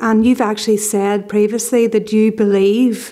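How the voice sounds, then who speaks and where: Against a quiet background, a woman with a fairly high pitch and a dark, mellow tone speaks at a moderate pace in a flat monotone. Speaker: podcast host and journalist; podcast host, journalist. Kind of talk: interview. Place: home room. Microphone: studio mic.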